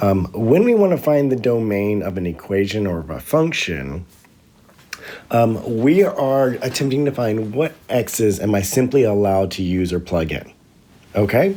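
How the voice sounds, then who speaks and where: Noticeable background noise behind a man's fairly low voice, with lively intonation and a moderate pace. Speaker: math teacher. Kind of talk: tutorial. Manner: hesitant, many ums.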